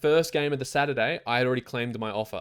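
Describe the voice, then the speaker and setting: A very fast-talking man with an Australian accent, medium pitch and ordinary pitch variation, on a very clean recording with a silent background. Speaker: sports betting tipster. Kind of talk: casual monologue.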